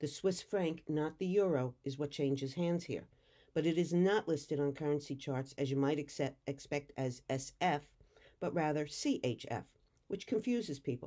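In a very clean recording with a silent background, a woman talks with an American accent at a moderate pace. Her very deep, low pitch has a dark, mellow tone and ordinary pitch variation. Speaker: tour guide. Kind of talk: travelogue narration.

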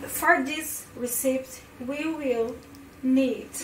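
A woman speaking at a very slow pace over noticeable background noise. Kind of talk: casual recipe tutorial in hesitant second language. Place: kitchen. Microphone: phone near.

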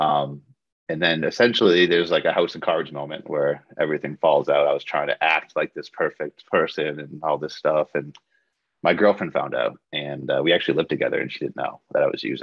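A man talks at a fairly quick pace. The sound is dry with no echo, over a quiet background. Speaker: podcast guest. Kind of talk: interview answer. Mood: earnest, personal confession. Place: home room. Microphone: video call.

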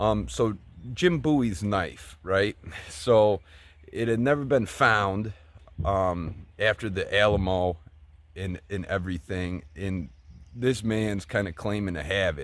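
A man talks very slowly, with long, frequent pauses and ordinary pitch variation. His fairly low voice sounds dry, with no echo. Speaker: bookseller and YouTuber. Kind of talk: casual vlog. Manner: halting, repeats words. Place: open country. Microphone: phone near.

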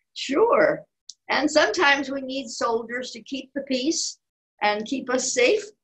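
Against a quiet background, a woman with a high-pitched voice talks at a fairly slow pace. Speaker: children's storyteller. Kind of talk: storytelling and nursery songs for children. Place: home room. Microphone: video call.

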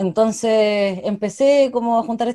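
Dark and mellow in tone, a woman speaks with a Chilean accent and ordinary pitch variation over a quiet background. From Chile, Cauquenes (Maule region); Maule, Chile. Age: 20s. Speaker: political candidate and law student; candidate. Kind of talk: interview; interview answer. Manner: hesitant, with frequent repetitions and fillers. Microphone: earbuds.

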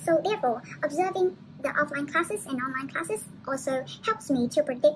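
Noticeable background noise sits behind a woman with a Vietnamese accent. Her pitch is high and her pace fairly quick. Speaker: university student. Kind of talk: presentation. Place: home room. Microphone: webcam.

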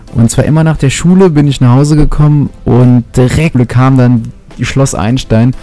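With music behind him, a man speaks at a moderate pace and with ordinary pitch variation. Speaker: gaming commentator. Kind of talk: commentary.

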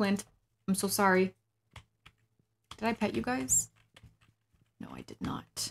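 Speaking at a fairly slow pace in a medium pitch, a woman leaves long, frequent pauses. Her loudness swings widely over light background noise. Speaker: game streamer. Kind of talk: casual livestream gaming chat. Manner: animated. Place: home room.

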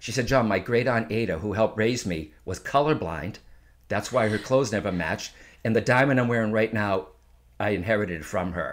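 Over a quiet background, a man with a normal speaking voice and fairly low pitch moves at a fairly quick pace with ordinary pitch variation. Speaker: psychic medium. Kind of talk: casual interview conversation. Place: home room. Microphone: studio mic.

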